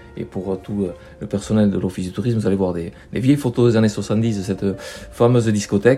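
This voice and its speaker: A man's fairly low, dark and mellow voice at a fairly quick pace. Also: fairly even intonation. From French Basque Country, Bidart. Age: 60s. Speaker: local councillor. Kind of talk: podcast interview.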